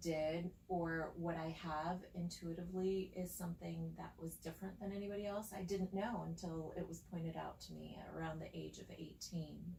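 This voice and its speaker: At a moderate pace with hardly any pauses, the speech comes through audible room echo and noticeable background noise. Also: woman. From Spain. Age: 40s. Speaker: psychic and spiritual guide. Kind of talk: casual chat.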